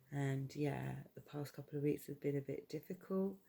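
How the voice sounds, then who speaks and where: Quiet and dark, with a mellow tone, a woman's very deep, low voice carries a British accent. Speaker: YouTube vlogger. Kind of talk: casual vlog monologue. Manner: quiet, low-voiced; hesitant, many fillers.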